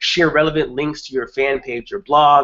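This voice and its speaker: A man with a New York accent. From Brooklyn, New York, US. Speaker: online marketing trainer. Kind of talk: webinar presentation. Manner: fast.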